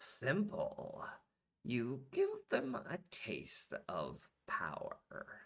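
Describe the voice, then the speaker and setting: Very slowly, a man performs in a put-on character voice. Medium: read story. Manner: cold, smug.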